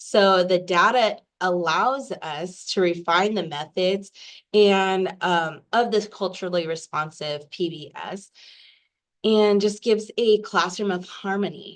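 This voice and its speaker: Using a raspy, put-on character voice, a woman speaks at medium pitch and a fairly slow pace with ordinary pitch variation. The background is quiet. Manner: hesitant.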